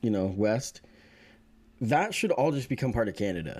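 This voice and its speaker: A man's plain, everyday voice with lively intonation at a moderate pace. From Oregon, US Pacific Northwest. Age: 30s. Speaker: podcast host and barber. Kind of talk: casual interview chat.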